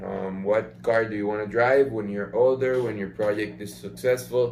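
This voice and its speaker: In a room with audible echo, a man talks at a fairly slow pace, his fairly low pitch held in fairly even intonation. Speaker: business coach. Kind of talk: tutorial. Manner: hesitant fillers, many ums.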